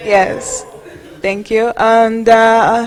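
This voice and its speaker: A woman talks at a fairly high pitch. There is noticeable background noise. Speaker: conference speaker for community organization. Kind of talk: conference presentation. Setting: stage with audience. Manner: hesitant, many fillers.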